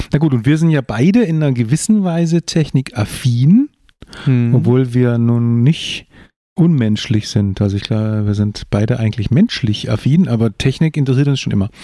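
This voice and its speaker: This man's medium-pitched voice has a dark, mellow tone and lively intonation, moving at a moderate pace. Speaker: podcast co-host, father of the other host, author. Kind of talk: casual chat.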